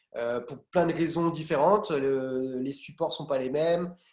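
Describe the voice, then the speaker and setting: A fairly high male voice with ordinary pitch variation, delivered at a moderate pace. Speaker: graphic design trainer. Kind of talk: lecture. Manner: loud; hesitant.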